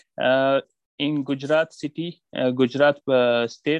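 A man talks at a fairly slow pace in a fairly high voice with a monotone, flat intonation. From Afghanistan, Paktika province. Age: 20s. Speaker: small business owner. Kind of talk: interview. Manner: halting.

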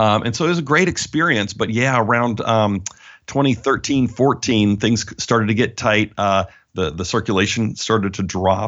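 Using an unremarkable speaking voice, a man talks at a moderate pace and a medium pitch with ordinary pitch variation. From Alberta, Canada. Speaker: publisher and author.

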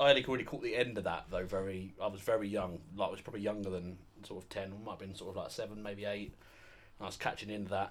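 Talking at a very fast pace, a man with a British accent keeps his intonation fairly even. His loudness swings widely. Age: 20s. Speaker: wrestling fan, podcast guest. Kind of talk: casual chat.

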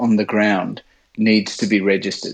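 A man talks with an Australian accent. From Sydney, Australia. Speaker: pilot and backcountry ski operator. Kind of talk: casual interview chat. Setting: video call.

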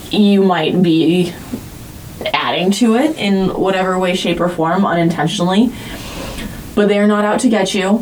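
A woman at a medium pitch with ordinary pitch variation, at a moderate pace with long, frequent pauses, very even in loudness, over noticeable background noise. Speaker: podcast host and teacher. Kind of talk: casual chat.

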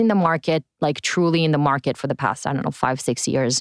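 In a very clean recording with a silent background and a dry, close sound with no echo, a woman with an Israeli accent speaks at a fairly quick pace with ordinary pitch variation. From Israel, Tel Aviv. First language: Hebrew. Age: 20s. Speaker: innovation community director. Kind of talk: interview.

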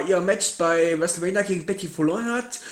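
Talking at a moderate pace, a man is heard with noticeable background noise behind him. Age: 20s. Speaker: podcast guest, wrestling fan. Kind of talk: casual chat. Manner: halting.

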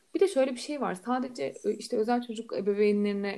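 In an unremarkable speaking voice, a woman speaks at a fairly high pitch with lively intonation and a fairly quick pace. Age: 20s. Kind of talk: casual chat.

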